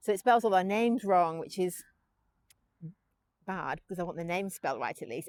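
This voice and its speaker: Mumbling at a fairly quick pace, a woman at medium pitch uses lively intonation in a dry, close recording with no echo. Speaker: pony breeder and content creator. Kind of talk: casual vlog monologue. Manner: fast.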